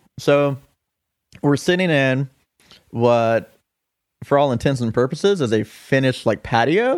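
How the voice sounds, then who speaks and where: Talking at a fairly slow pace, a man with an American accent uses a medium pitch with ordinary variation, very even loudness, and long, frequent pauses. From US South, Augusta, Georgia. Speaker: musician and coffee shop manager. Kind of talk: casual chat.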